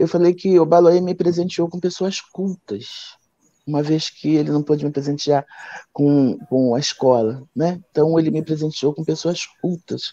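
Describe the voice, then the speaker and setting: This woman's voice is very deep and low, with a dark, mellow tone. She talks at a fairly slow pace with ordinary pitch variation. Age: 60s. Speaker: candomblé priestess and author. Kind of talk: live stream book launch conversation. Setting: online live stream.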